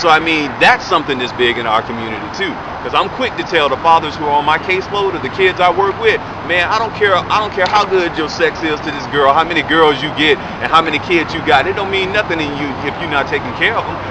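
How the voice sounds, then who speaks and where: Over noticeable background noise, a man rattles along at a very fast pace in a fairly high pitch with ordinary pitch variation. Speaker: vlogger and radio show co-host. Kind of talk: casual commentary vlog. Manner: animated; stuttering.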